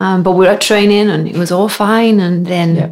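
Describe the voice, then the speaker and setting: A woman speaks in a Welsh accent at a medium pitch. Her intonation is monotone and flat, at a moderate pace. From Wales. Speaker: amateur runner. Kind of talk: casual chat.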